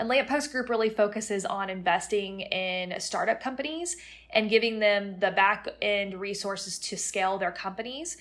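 A woman with an American accent uses a normal speaking voice at a medium pitch, moving at a moderate pace with hardly any pauses and lively intonation. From Florida (Plant City, near Tampa). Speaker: real estate company CEO. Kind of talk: interview.

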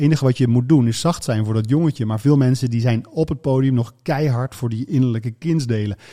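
A man with a medium pitch and a dark, mellow tone talks at a fairly quick pace, with hardly any pauses and ordinary pitch variation. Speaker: radio presenter and speaker on brain topics. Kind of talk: casual interview conversation.

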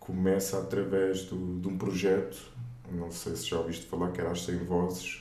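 A man's very deep, low voice in a monotone, flat delivery at a moderate pace, with audible room echo and noticeable background noise. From Portugal, raised from age 4 (born in Luanda, Angola). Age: 30s. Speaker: gospel singer and theology student. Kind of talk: casual interview.

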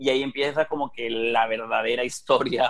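This man speaks at a medium pitch. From Spain. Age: 30s. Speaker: digital marketing consultant. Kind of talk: interview conversation. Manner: hesitant, many fillers.

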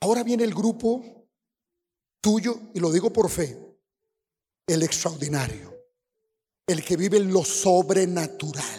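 A very slow pace with long, frequent pauses. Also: man, high pitch for a man, ordinary pitch variation. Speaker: apostle, preacher. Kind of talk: sermon. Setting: church.

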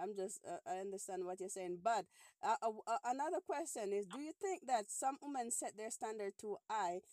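A woman talks at a moderate pace with lively intonation in a plain, everyday voice. The sound is dry and close, with no echo. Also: fairly high pitch for a woman. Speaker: podcast host. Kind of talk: casual phone-in chat.

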